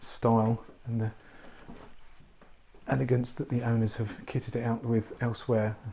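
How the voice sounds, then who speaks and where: Quiet and somewhat breathy, a man speaks at a medium pitch with a dark, mellow tone and fairly even intonation. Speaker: property tour presenter. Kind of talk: walkthrough property tour. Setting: indoors in a historic house. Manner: quiet, hushed; halting with restarts.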